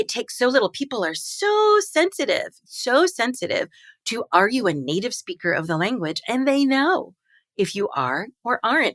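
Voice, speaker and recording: With an American accent, a woman speaks in an animated tone at a moderate pace and a high pitch. Her pitch swings very widely, and the sound is dry and close with no echo. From Long Island, New York. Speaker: linguist. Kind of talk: interview conversation.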